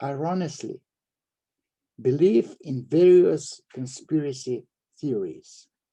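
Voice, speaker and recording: At a very slow pace with long, frequent pauses, a man speaks in a somewhat breathy, dark, mellow tone at a fairly high pitch. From Slovenia. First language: Slovenian. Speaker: psychoanalyst. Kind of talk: reading aloud. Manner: halting.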